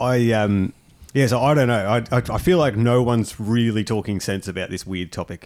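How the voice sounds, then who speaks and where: Here a man with a normal speaking voice talks at a medium pitch and moderate pace, using ordinary pitch variation. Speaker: podcast host. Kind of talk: casual comedic banter reading news stories.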